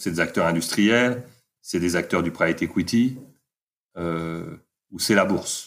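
A man with a very deep, low voice and ordinary pitch variation speaks with long, frequent pauses and big swings in loudness. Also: fairly slow pace. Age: 50s. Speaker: entrepreneur and author. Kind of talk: interview.

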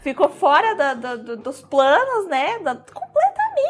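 Very wide pitch swings at a fairly slow pace, over noticeable background noise. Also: woman. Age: 20s. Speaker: eyebrow designer and mother. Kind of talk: casual interview.

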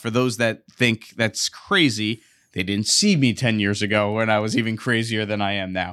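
A man's fairly low voice at a moderate pace, with ordinary pitch variation, in a very clean recording with a silent background. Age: 30s. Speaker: sports journalist and radio sports director. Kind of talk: interview conversation.

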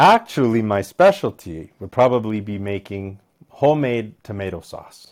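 A man with a Canadian accent speaks in a plain, everyday voice, fairly low in pitch with ordinary variation. His pace is moderate, and the recording is very clean with a silent background. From Alberta, Canada (Medicine Hat). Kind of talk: casual chat. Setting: pub.

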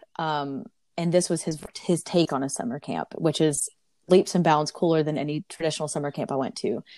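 A woman with an Alabama accent talks at a fairly quick pace in a fairly low pitch. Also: dry, close sound with no echo, very clean recording, silent background. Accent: Southern US (Alabama). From US South, Auburn, Alabama. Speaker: traveler and corporate professional. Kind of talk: interview.

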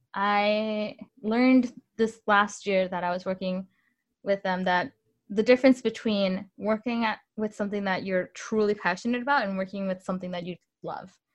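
At a moderate pace, a woman with an American accent uses an ordinary speaking voice at medium pitch with fairly even intonation over a quiet background. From Northern Illinois. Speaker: musician. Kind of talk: interview.

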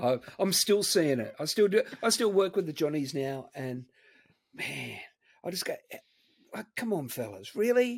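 The man's pitch is high, with very wide pitch swings. He leaves long, frequent pauses. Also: moderate pace. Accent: Australian. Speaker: co-host, guitarist. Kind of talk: casual banter.

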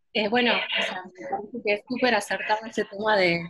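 A woman with a normal speaking voice talks at a moderate pace and medium pitch with fairly even intonation. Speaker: travel writer. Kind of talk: online group discussion. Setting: video call. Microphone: unstable connection.

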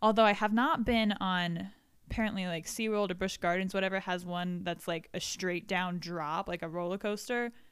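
A normal speaking voice with an American accent, fairly even intonation and a moderate pace on a very clean recording with a silent background. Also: woman, medium pitch for a woman. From Florida. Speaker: podcast co-host. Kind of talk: casual chat. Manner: giggly, laughs often.

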